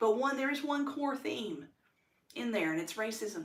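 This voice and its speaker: With an American accent and an animated tone, a woman talks at a moderate pace with very wide pitch swings, amid audible room echo. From United States. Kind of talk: personal testimony monologue. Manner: loud when excited; animated, many fillers.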